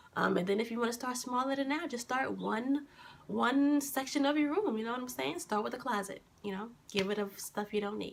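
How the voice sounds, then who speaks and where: Against noticeable background noise, a woman talks at a fairly quick pace in a high pitch with ordinary variation. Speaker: lifestyle vlogger. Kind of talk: casual vlog talk to camera. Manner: hesitant, many fillers.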